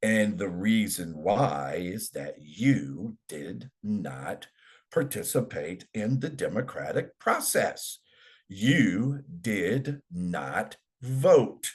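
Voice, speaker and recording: Speaking at a very slow pace with an American accent, this voice has vocal fry, very wide pitch swings and big swings in loudness. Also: man, fairly low pitch for a man. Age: 60s. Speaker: political commentary host. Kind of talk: educational talk. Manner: halting, with many fillers and repeats.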